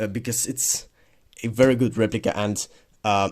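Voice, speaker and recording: A man with a non-native accent speaks in a fairly low voice with fairly even intonation. The recording is very clean and the background silent. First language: not English. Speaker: militaria collector YouTuber. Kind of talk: product review video. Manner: halting, many fillers and repeats.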